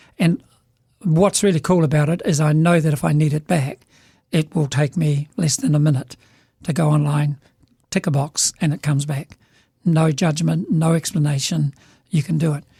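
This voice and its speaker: A man speaks with a New Zealand accent in a dark, mellow, somewhat breathy tone at a fairly high pitch for a man. His pace is moderate, with long, frequent pauses, and the sound is dry and close with no echo. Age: 70s. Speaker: business leader. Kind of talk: casual chat. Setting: studio.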